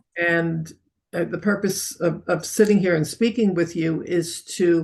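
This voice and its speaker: A woman speaks at fairly low pitch, with vocal fry. She goes at a fairly slow pace with fairly even intonation. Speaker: interviewer for local civic group. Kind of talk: interview.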